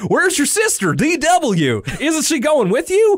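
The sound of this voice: Doing a put-on character voice with a Southern accent, a man speaks at a moderate pace in an extremely high pitch over light background noise.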